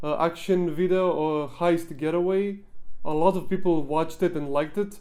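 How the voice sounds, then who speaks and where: At a moderate pace, a man speaks with a high pitch and a dark, mellow tone. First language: not English. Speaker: gaming YouTuber and machinima filmmaker; gaming YouTuber. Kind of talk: behind-the-scenes Q&A talk. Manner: halting with frequent fillers. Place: home room. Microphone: handheld.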